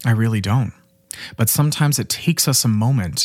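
A soft-spoken man talks at a fairly quick pace with lively intonation and a somewhat breathy sound. The recording is very clean, with a silent background. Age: 20s. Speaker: podcast host and life coach. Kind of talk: motivational monologue. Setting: solo recording. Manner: casual, frequent laughter.

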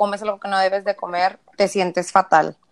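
Speaking in a Mexican accent, a woman talks at a fairly quick pace with medium pitch. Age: 20s. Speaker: nutrition student. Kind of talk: interview.

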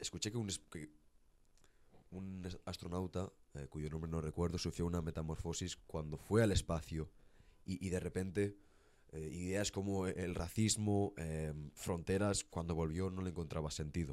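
A man speaks at a very deep, low pitch. His pace is moderate and his intonation fairly even. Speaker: podcast host. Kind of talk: casual chat. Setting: studio.

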